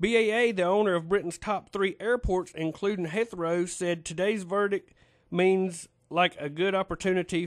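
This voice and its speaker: A man with a North Carolina accent speaks at a moderate pace against a quiet background. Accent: Southern US (North Carolina). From North Carolina, US South. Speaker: radio talk show host. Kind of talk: call-in radio conversation; news reading.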